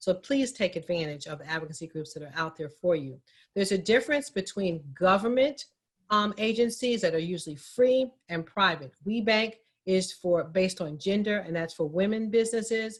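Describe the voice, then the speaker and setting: A somewhat breathy woman talks at a medium pitch with lively intonation. Her loudness swings widely. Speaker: minority business advocate, guest speaker. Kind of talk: town hall presentation. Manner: fast.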